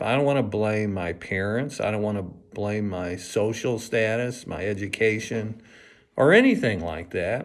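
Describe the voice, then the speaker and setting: The speaker talks at a fairly slow pace with lively intonation, and audible room echo surrounds the voice. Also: man. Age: 70s. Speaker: grandfather recording life story. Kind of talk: personal reflection monologue. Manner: halting, many fillers.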